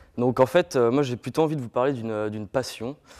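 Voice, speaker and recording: A man's medium-pitched, unremarkable speaking voice at a fairly quick pace, with fairly even intonation. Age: 20s. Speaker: student introducing himself. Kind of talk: self-introduction to class.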